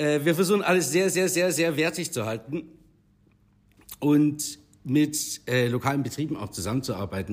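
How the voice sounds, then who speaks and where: A man's fairly high voice with vocal fry, at a moderate pace, on a very clean recording with a silent background. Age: 30s. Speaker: bar owner. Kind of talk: casual interview. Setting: in his bar.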